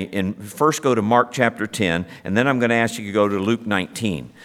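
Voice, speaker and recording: An unremarkable speaking voice from a man with an American accent, a medium pitch and ordinary pitch variation. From Ohio, US Midwest. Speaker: pastor. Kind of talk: sermon.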